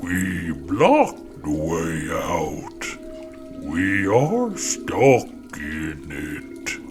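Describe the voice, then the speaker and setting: A man's put-on character voice at a very slow pace, with clear background noise. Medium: read story. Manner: speaks of itself as "we", in short broken phrases.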